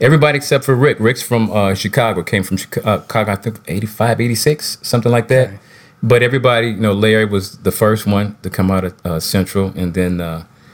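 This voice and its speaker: A plain, everyday voice from a man, fairly low in pitch, with ordinary pitch variation at a moderate pace. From Minnesota, St. Paul. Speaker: singer and musician. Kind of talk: casual interview. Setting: video call from home.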